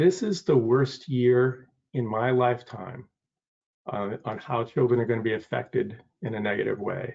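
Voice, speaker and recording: Somewhat breathy, a man speaks at a medium pitch with an American accent. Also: ordinary pitch variation, moderate pace. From Maine, US. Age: 60s. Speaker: advisory board member. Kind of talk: public meeting discussion.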